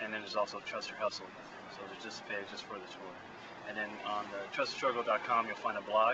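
The speaker talks at a fairly quick pace with an American accent, the sound dry with no echo and noticeable background noise behind it. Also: man. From US West Coast, San Francisco Bay Area; US West Coast. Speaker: muralist. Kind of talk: casual interview. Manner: halting, many fillers. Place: street. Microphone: phone near.

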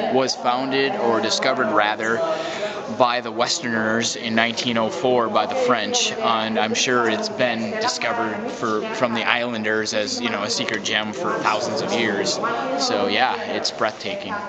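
The background noise is loud. Through it, a man talks at a moderate pace. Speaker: tourist vlogger. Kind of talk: casual vlog chat. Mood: awed, enthusiastic. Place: tunnel cave. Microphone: phone near.

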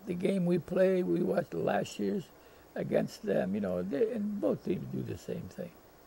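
Over light background noise, a man speaks at a very slow pace. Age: 80s+. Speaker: retired football coach. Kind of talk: interview answer.

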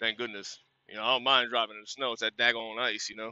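The man's voice comes through dry, with no echo. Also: quiet background. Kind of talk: casual vlog chat. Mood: relaxed, friendly, cautionary. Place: car. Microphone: phone near.

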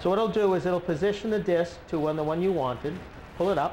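A man speaks at a high pitch and a fairly quick pace, with ordinary pitch variation. His tone is slightly mellow, and there is faint background noise.

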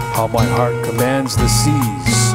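Loud background noise surrounds a man as he talks. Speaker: poet. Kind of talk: spoken word poetry over music. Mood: dark, solemn, romantic. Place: studio. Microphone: studio mic.

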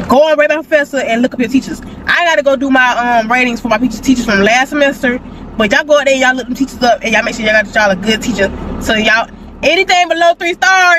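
Speaking at a very fast pace with a high pitch, a woman comes through a dry recording with no echo and noticeable background noise. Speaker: college student vlogger. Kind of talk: casual vlog chat. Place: car.

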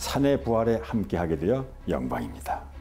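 Faint music can be heard in the background. Over it, a man talks at a moderate pace. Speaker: actor, documentary narrator. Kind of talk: promotional message to viewers. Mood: warm, smiling. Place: home room. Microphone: lapel.

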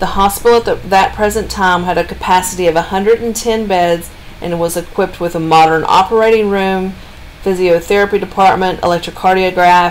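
Against light background noise, a woman speaks at a fairly quick pace. Her intonation is monotone and flat. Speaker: travel vlogger driving. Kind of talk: casual narration of local history. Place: car. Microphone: phone near.

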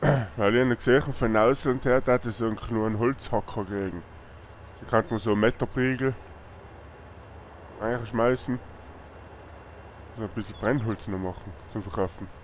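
A man speaks at a moderate pace and medium pitch, with ordinary pitch variation and long, frequent pauses. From Tyrol, Austria. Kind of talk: casual conversation while gaming.

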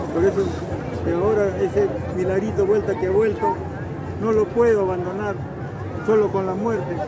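Amid loud background noise, a man talks at a moderate pace with long, frequent pauses in a dry sound with no echo. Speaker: pilgrim. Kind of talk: interview answer. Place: street. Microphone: phone near.

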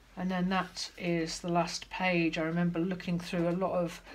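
A woman speaks at a fairly slow pace in a flat, monotone delivery. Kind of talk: casual tutorial chat. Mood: calm, reflective. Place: home room. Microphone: phone near.

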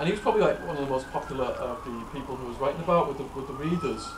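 A man's fairly high-pitched voice against noticeable background noise. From England. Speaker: former prisoner turned author and speaker. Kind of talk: Q&A talk to an audience. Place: classroom. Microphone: camera far.

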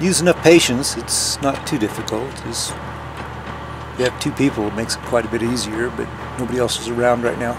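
Over noticeable background noise, a man speaks at a fairly quick pace with ordinary pitch variation and hardly any pauses. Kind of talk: casual vlog narration while working. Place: open country. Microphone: camera far.

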